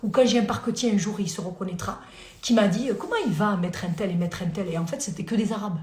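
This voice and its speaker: Speaking at a very fast pace, a woman has an animated tone and ordinary pitch variation. Audible room echo and noticeable background noise are present. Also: medium pitch for a woman. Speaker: lawyer. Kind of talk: live stream Q&A. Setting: live video stream at home.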